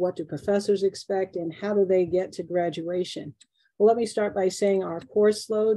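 A woman with an American accent speaks at a moderate pace in a dark, mellow tone with fairly even intonation, captured with a dry sound with no echo over a quiet background. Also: medium pitch for a woman. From New York City. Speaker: engineering professor; engineering professor panelist. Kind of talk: online workshop presentation. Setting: video call. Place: office. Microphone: webcam.

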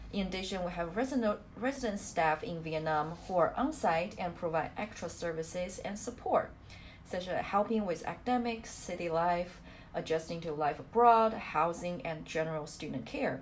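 With a Chinese accent, a woman talks at a moderate pace and a fairly low pitch. Her intonation is lively. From China. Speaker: study abroad program manager. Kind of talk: webinar presentation.

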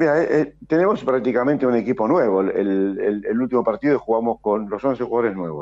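A man speaks fairly quickly at a medium pitch, with lively intonation and hardly any pauses. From Argentina, Mar del Plata. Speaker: football coach and former player. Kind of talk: radio interview.

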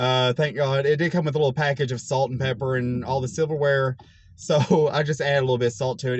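At a fairly quick pace, a man with a somewhat breathy voice speaks with ordinary pitch variation, the sound dry with no echo. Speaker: food reviewer. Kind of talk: casual vlog chat. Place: car. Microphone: phone near.

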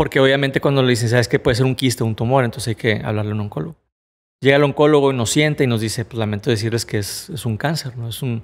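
Very fast speech from a man with ordinary pitch variation against a quiet background. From Mexico, Monterrey; Nuevo León, Mexico. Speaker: motivational speaker, cancer survivor; podcast guest. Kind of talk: personal testimony in interview. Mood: earnest, reflective storytelling. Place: studio. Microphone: studio mic.

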